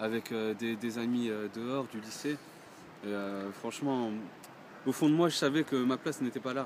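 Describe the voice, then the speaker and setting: Pausing long and often, a man talks at a moderate pace in a medium pitch with ordinary pitch variation. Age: 20s. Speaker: churchgoer giving testimony. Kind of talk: testimony. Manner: halting, many hesitations.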